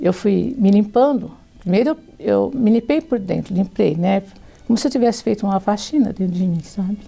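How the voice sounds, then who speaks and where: With a dark, mellow tone and vocal fry, a woman at medium pitch speaks at a moderate pace with lively intonation. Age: 60s. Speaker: church member giving testimony. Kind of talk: testimony.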